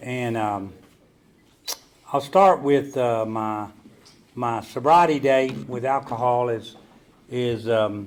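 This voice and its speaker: A man with a Southern US accent speaks at a very slow pace, with long, frequent pauses, ordinary pitch variation and audible room echo. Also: medium pitch for a man. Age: 70s. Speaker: recovery meeting speaker. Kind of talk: recovery testimony talk. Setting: stage with audience. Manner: halting, many fillers.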